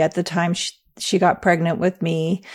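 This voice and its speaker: A woman speaks with an American accent at a medium pitch. The recording is very clean, with a silent background. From England. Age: 40s. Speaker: former cult member, nonprofit president. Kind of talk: interview testimony.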